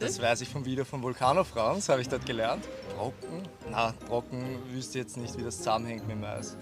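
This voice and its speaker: Music can be heard behind the speech. The speaker is a man whose pitch varies in an ordinary way. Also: medium pitch for a man, moderate pace. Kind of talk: casual quiz answers.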